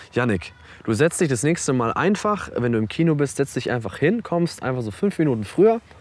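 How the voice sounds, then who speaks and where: Fairly quick, relaxed speech from a fairly high-pitched man, with very wide pitch swings and noticeable background noise. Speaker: podcast co-host. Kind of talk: casual chat. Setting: outdoors on a park bench.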